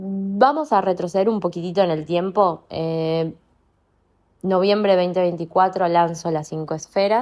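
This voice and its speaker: In an ordinary speaking voice, a woman talks at a fairly slow pace. Her pitch is medium, with ordinary variation. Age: 30s. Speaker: coach. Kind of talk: monologue podcast. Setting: at home. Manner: reflective, meandering.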